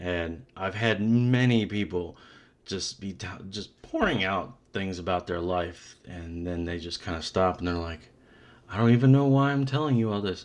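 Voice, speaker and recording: This man's loudness swings widely while his pitch varies in an ordinary way and his pace stays moderate. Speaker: podcast host, former cable technician. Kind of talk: casual interview chat.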